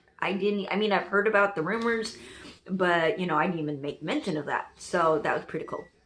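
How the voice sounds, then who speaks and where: A woman's medium-pitched voice with lively intonation and audible room echo. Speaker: TV reaction youtuber. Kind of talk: casual reaction review. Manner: loud; animated.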